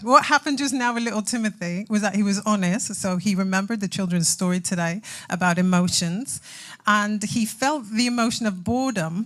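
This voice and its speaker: Her voice is animated, bright and sharp in tone, and fairly high in pitch, recorded very cleanly against a silent background. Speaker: church speaker. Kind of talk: sermon. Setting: church.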